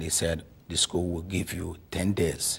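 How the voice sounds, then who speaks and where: A man speaks with a very deep, low pitch at a fairly slow pace. His voice is somewhat breathy. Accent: Nigerian. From Nigeria. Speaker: lawyer, immigrant interviewee. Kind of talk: interview. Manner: halting.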